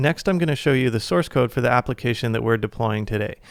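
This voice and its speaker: The recording is very clean, with a silent background. A man talks at a medium pitch and ordinary pitch variation. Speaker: software tutorial creator. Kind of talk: tutorial. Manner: fast.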